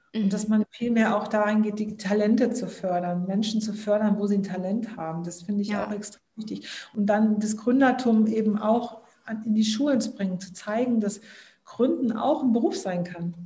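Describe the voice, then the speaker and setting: The somewhat breathy voice has a dark, mellow tone, moving at a moderate pace with ordinary pitch variation amid audible room echo. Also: woman, fairly high pitch for a woman. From southern Germany. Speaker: startup founder. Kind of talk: interview.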